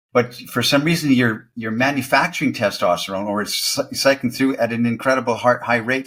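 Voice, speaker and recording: At a fairly quick pace with hardly any pauses, a man with a medium pitch and fairly even intonation speaks in a very clean recording with a silent background. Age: 60s. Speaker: dating coach. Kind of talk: casual chat. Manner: halting.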